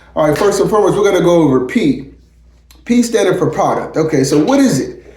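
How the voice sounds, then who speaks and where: Speaking very fast in a high voice, a man sounds animated, his loudness very even, with noticeable background noise behind him. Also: lively intonation. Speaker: chef and entrepreneur giving business tips. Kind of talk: casual vlog tutorial. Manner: animated, conversational.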